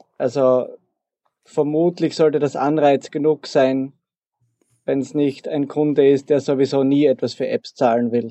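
A man's fairly high, monotone voice with flat intonation, a fairly slow pace and long, frequent pauses. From Austria, southeastern Styria. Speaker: programmer. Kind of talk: interview.

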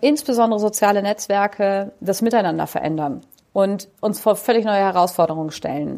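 A woman at medium pitch and moderate pace, in a very clean recording with a silent background. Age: 40s. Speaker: school principal. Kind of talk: interview. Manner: animated.

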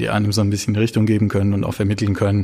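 In a dark, mellow tone, a man speaks with a fairly low pitch. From Baden, southern Germany. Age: 30s. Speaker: criminal defense lawyer. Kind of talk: interview.

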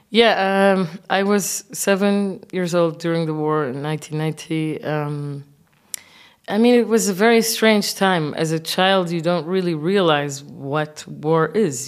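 A woman's fairly low voice at a very slow pace, with an Arabic accent. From Kuwait. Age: 30s. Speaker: visual artist. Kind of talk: interview.

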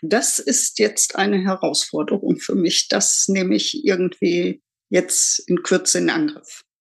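A woman speaks at a very slow pace. Her loudness stays very even throughout. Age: 60s. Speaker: retiree. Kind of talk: casual chat.

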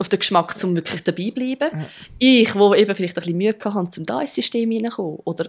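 A woman speaks at a medium pitch with lively intonation. Her pace is fairly quick. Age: 30s. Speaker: drummer and therapist. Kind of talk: interview.

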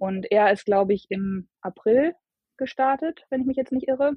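Speaking at a moderate pace with ordinary pitch variation, the woman has an unremarkable speaking voice. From Germany, Bielefeld. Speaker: long-distance hiker. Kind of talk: interview.

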